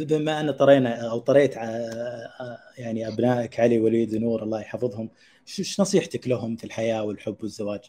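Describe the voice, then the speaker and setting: At a moderate pace, a man with a medium pitch and a dark, mellow tone uses ordinary pitch variation, his loudness swinging widely. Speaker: podcast host. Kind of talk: interview, scripted intro then casual chat. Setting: studio, streamed live.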